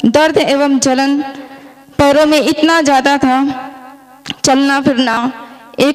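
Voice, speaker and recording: Over noticeable background noise, a woman speaks at a high pitch in a monotone, flat intonation. Her loudness stays very even, and she leaves long, frequent pauses. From India, Madhya Pradesh (Jabalpur). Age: 30s. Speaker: product customer, army wife. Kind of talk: testimony.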